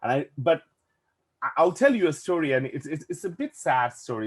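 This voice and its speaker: A man speaks with a Bangladeshi accent in a somewhat breathy voice. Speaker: VFX and animation production manager. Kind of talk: casual chat. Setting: podcast interview.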